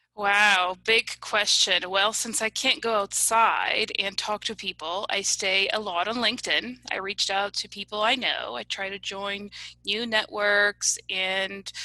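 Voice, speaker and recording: With hardly any pauses, a woman with a slight Polish accent speaks in a bright, sharp tone with fairly even intonation. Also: medium pitch for a woman, fairly slow pace. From US (came from Poland as small child). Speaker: analytics company representative. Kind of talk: comedic interview.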